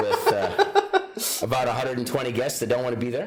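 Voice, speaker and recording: Noticeable background noise and audible room echo around a man with ordinary pitch variation. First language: Ukrainian. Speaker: county sheriff. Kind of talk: interview.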